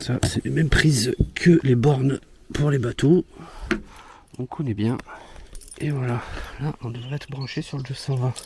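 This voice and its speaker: A man of medium pitch speaks at a fairly slow pace in a somewhat breathy voice. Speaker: vlogger. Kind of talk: casual vlog talk. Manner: soft-spoken.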